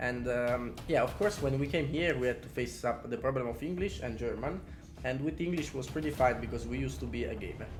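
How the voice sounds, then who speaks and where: A man talking at a fairly quick pace, with audible room echo and music in the background. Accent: Italian. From Italy. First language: Italian. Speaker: podcast co-host, calisthenics athlete. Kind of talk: casual chat.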